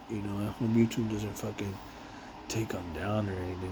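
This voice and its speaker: A man with a fairly low voice and an American accent talks at a fairly quick pace in a monotone, flat delivery. Audible room echo and noticeable background noise fill the recording. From Los Angeles, US West Coast. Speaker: warehouse worker and vlogger. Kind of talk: casual monologue vlog. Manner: unscripted, rambling with repetitions.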